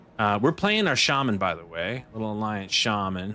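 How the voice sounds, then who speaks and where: With music in the background, a man speaks at a moderate pace in a relaxed, animated tone with ordinary pitch variation. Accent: American. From Texas. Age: 40s. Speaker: gaming streamer. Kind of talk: casual live stream chat while gaming. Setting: home desk live stream. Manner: relaxed, chill; animated, excitable reactions.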